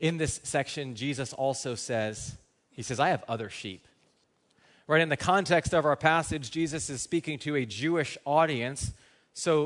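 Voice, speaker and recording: This man speaks at a moderate pace in an ordinary speaking voice, pitched fairly high with ordinary pitch variation. The background is quiet. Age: 30s. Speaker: pastor. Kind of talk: sermon. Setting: church.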